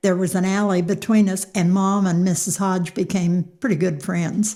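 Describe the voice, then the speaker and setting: On a very clean recording with a silent background, a woman with an American accent speaks at a medium pitch in a monotone, flat way, her somewhat breathy voice holding a dark, mellow tone at very even loudness. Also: moderate pace. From Cincinnati, Ohio, then southern Indiana. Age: 90s. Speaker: local elder. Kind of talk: interview.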